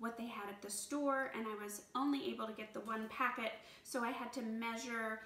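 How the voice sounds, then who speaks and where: A woman talks with fairly even intonation, and audible room echo surrounds her voice. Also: moderate pace. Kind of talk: tutorial. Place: kitchen. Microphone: camera far.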